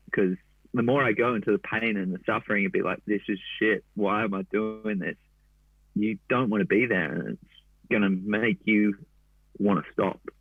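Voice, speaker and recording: This man speaks with an Australian accent. His pitch is fairly low. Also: ordinary pitch variation, moderate pace. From Gold Coast, Australia. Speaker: endurance runner. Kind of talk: interview. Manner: casual, slangy.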